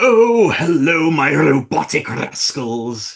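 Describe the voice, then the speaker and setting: Using a put-on character voice, a man speaks at a very slow pace. His pitch is fairly high and swings very widely. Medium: read story. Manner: crude, ranting, self-pitying.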